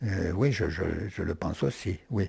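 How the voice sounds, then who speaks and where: A very slow, somewhat breathy man with a very deep, low pitch, a dark, mellow tone and ordinary pitch variation, on a very clean recording with a silent background. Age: 80s+. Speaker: philosopher. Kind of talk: interview. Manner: halting.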